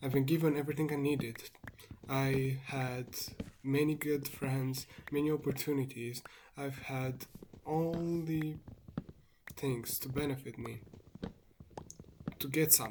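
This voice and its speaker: The speaker talks at a fairly slow pace with a non-native accent. Long, frequent pauses break up the speech. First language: not English. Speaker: vlogger. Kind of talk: monologue. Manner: reflective, meandering.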